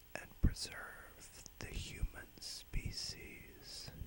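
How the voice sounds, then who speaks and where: A man whispering very slowly amid noticeable background noise. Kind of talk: whispered dark fantasy tale. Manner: whispered.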